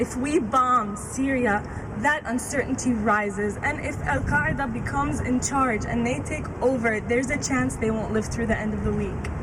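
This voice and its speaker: A woman with a fairly high pitch talks with lively intonation. Noticeable background noise and audible room echo surround her voice. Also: moderate pace, hardly any pauses. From US Midwest, Fort Wayne, Indiana. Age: young. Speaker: student activist. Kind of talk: rally speech.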